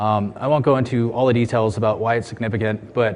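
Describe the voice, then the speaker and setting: Over noticeable background noise, a man with an American accent speaks at a medium pitch in a monotone, flat way. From USA. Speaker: security researcher. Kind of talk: conference talk. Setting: stage with audience.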